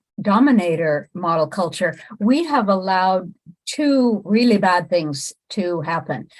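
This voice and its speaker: At a fairly slow pace, a woman with an ordinary speaking voice uses lively intonation on a very clean recording with a silent background. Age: 60s. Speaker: relationship coach. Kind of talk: monologue to camera.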